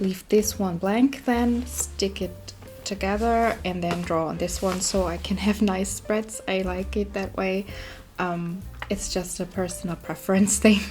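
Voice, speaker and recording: Music plays in the background. A woman speaks at a fairly slow pace with a non-native accent. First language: not English. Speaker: art YouTuber. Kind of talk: casual sketchbook tour talk. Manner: hesitant, many fillers.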